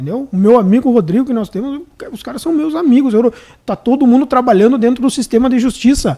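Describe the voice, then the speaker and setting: Speaking at a very fast pace in a Rio Grande do Sul accent, this man has an extremely high pitch, a dark, mellow tone and ordinary pitch variation. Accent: gaúcho. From Rio Grande do Sul, Brazil (Santo Ângelo). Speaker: public defender. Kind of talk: casual chat. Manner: halting, many repetitions.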